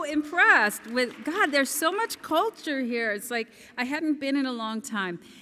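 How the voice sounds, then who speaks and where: The voice is raised and projected. Light background noise can be heard. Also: woman. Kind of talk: gala acceptance speech. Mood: warm, grateful. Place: hall. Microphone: podium.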